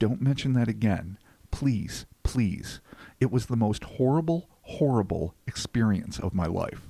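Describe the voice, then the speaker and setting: In a put-on character voice, a man whispers shakily at a moderate pace. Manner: whispering, pleading.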